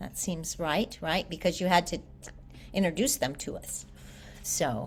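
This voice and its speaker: At a fairly slow pace, a woman speaks with a fairly low pitch and vocal fry. Her loudness swings widely while her pitch varies in an ordinary way. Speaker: English teacher. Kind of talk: online class lecture.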